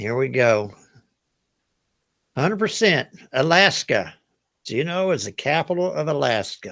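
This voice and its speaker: Speaking with a Southern US accent, a man with a fairly high pitch moves at a fairly slow pace, with very wide pitch swings and long, frequent pauses. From US South. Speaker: trivia game show host. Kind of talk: live online trivia game hosting. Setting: livestream. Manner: casual, chatty.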